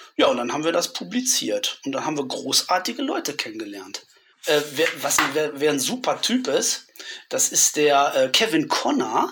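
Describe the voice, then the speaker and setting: Noticeable noise runs underneath as a man speaks at a moderate speed. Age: 50s. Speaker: horror film author and interviewer. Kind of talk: casual chat.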